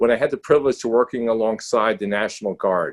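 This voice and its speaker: This man has a strong New York accent and a medium pitch, talking at a fairly quick pace in a dry, close recording with no echo. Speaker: critical care clinician, panelist. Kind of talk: panel discussion webinar. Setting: video webinar. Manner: halting, with many fillers and restarts.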